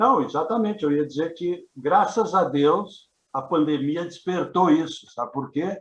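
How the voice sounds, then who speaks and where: A man with a high voice speaks at a fairly slow pace, his pitch rising and falling in an ordinary way. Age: 70s. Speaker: heritage institute vice-president. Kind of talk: interview. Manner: halting.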